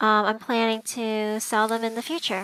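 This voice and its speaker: Her tone is bright and sharp, set at a fairly high pitch. The woman speaks at a fairly slow pace. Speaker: pokemon card collecting youtuber. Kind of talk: tutorial.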